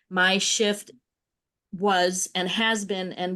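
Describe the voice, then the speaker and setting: Against a quiet background, a woman with a normal speaking voice talks at a fairly slow pace and a medium pitch. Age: 60s. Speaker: landscape designer and workshop leader. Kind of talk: group workshop sharing.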